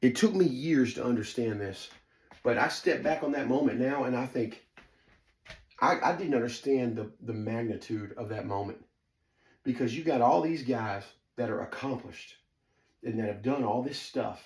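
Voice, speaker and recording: A man with a Southern US accent talks at a moderate pace in a medium pitch, with an animated tone and ordinary pitch variation. His long, frequent pauses carry audible room echo. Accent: Southern twang. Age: 40s. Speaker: storyteller, former fight camp insider. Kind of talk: personal storytelling monologue. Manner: casual, filler-heavy, lots of ums.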